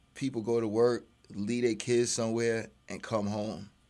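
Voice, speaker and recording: A man with a New York accent, medium pitch and a fairly slow pace. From Brooklyn, New York. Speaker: father and former addict. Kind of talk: radio interview. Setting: studio.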